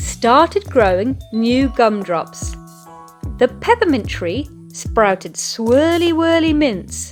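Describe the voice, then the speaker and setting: Very slow speech from a woman with a British accent, over music in the background. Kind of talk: children's picture book read-aloud.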